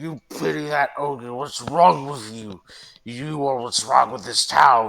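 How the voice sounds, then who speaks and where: A man puts on a raspy character voice at a medium pitch. He talks at a fairly slow pace. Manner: slurring, aggressive.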